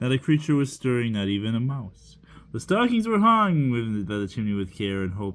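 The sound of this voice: What we hear is an unforced reading voice.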